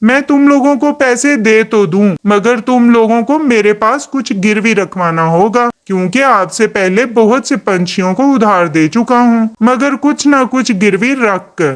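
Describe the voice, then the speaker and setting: A cartoonish character voice at a fairly high pitch moves at a moderate pace with hardly any pauses. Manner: cold, transactional.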